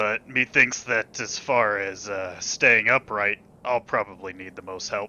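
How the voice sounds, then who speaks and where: A man's put-on character voice, raspy and fairly low-pitched, at a moderate pace. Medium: actual play. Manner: folksy, archaic turns of phrase.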